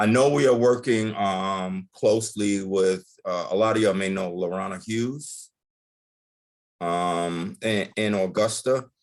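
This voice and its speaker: In an ordinary speaking voice, a man talks at a fairly slow pace with a fairly low pitch and ordinary pitch variation. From New York, the Bronx. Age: 60s. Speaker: agriculture program leader. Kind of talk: informal presentation in a group meeting. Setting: video call.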